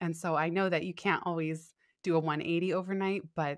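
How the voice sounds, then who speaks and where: Recorded very cleanly against a silent background, a woman uses an ordinary speaking voice at a fairly low pitch with ordinary pitch variation. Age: 30s. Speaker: author and podcaster. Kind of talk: interview.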